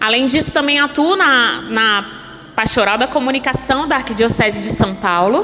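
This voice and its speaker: Over noticeable background noise and audible room echo, a woman with a high voice speaks at a moderate pace with lively intonation, very even loudness and hardly any pauses. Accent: Rio de Janeiro. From Brazil, Rio de Janeiro. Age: 30s. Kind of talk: sermon.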